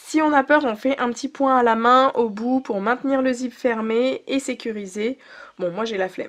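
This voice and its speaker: At a fairly slow pace and a high pitch, a woman talks with ordinary pitch variation against a quiet background. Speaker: sewing teacher. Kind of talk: tutorial. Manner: brief and to the point.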